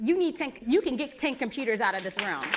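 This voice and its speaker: A woman with an American accent talks fairly quickly in a high pitch with very wide pitch swings. Noticeable background noise is audible. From Chicago, South Side. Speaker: event host. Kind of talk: event hosting and speaker introductions. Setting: stage with live audience. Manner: animated.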